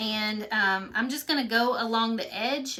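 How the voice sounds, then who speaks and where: With a Kentucky accent and a fairly high pitch, a woman speaks with ordinary pitch variation amid noticeable background noise. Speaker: craft painting teacher. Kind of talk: live painting tutorial. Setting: live stream. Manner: casual, chatty.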